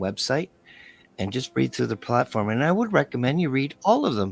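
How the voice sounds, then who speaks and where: A man speaks with music in the background. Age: 60s. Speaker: podcast host. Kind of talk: interview show outro, political commentary. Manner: halting, repetitive.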